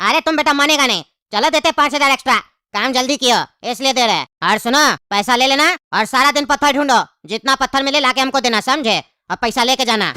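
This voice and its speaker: In a cartoonish character voice, a female-sounding speaker talks at a fairly quick pace with a high pitch. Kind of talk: comic cartoon acting. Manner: bossy, threatening.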